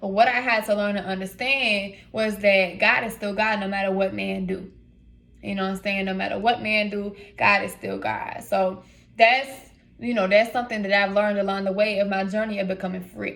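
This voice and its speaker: A woman speaks at a moderate pace with an American accent and a flat, monotone delivery. There is audible echo in the room. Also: medium pitch for a woman. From US South, south side Atlanta, Georgia. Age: 20s. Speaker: vlogger, inspirational speaker. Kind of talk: casual vlog, personal testimony. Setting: hotel room.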